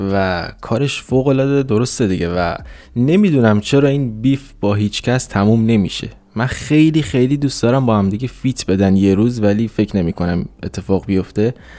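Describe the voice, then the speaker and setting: At a medium pitch with a dark, mellow tone, a man speaks at a moderate pace with ordinary pitch variation. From Iran, Mashhad. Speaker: podcast co-host. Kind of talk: casual chat.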